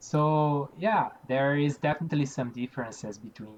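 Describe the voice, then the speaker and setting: The speaker is a man. He talks with a Portuguese accent. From Brazil. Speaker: environmental engineer. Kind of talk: interview. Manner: halting, many fillers and repeats.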